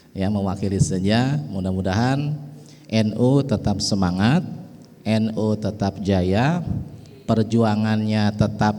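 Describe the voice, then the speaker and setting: With ordinary pitch variation, a man with a fairly low pitch speaks at a very slow pace. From West Java, Betawi parents. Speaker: religious speaker representing a pesantren family. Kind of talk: religious speech at an organisation inauguration.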